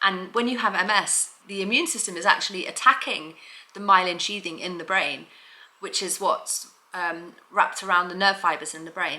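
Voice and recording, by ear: In a room with audible echo, a woman speaks at a fairly low pitch and a moderate pace, with a bright, sharp tone and ordinary pitch variation.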